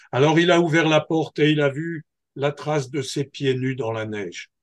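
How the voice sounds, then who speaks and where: Very slowly, a man speaks with a fairly high pitch in a dry, close sound with no echo. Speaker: storyteller. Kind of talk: oral folktale telling.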